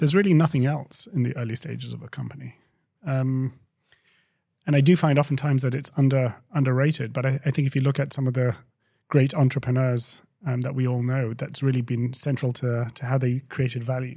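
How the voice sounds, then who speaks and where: A voice with a dark, mellow tone, somewhat breathy, moves at a fairly quick pace. Its intonation is fairly even on a very clean recording with a silent background. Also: man, medium pitch for a man. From England. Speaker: company co-founder and CEO. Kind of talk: interview conversation.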